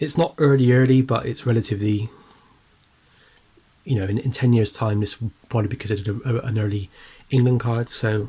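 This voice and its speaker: A somewhat breathy man talks at medium pitch with fairly even intonation. His pace is fairly quick, broken by long, frequent pauses. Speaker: sports card collector. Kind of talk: casual talk to camera.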